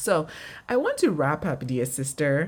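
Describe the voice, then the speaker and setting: A woman speaks at a moderate pace in a warm, somewhat breathy tone. The recording is very clean, with a silent background. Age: 40s. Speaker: ministry podcast host and well-being coach. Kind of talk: reflective devotional monologue. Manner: warm, laughs often.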